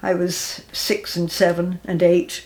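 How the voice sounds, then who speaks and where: A woman with a southern English accent. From southern England. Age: 80s+. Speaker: war witness. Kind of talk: interview. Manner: halting.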